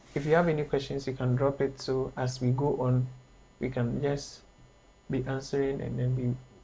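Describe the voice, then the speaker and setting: Here a man speaks at a moderate pace in a dark, mellow, somewhat breathy tone with monotone, flat intonation. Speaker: graphic design instructor. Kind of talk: online tutorial.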